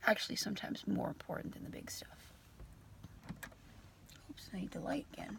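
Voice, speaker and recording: Whispering at a fairly quick pace, a woman shows big swings in loudness. She leaves long, frequent pauses. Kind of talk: casual talk to camera. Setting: car. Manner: reflective, encouraging, conversational.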